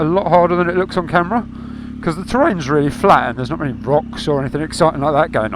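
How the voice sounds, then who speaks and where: Over noticeable background noise, a man with an Essex accent speaks in a high pitch with lively intonation. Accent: southern English (Essex). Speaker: motovlogger. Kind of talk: motorcycle ride-along commentary. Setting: outdoors on a motorbike. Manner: casual, conversational.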